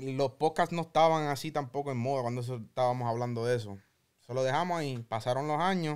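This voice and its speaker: A man with a plain, everyday voice at medium pitch, fairly quick pace and ordinary pitch variation, on a very clean recording with a silent background. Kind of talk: casual chat.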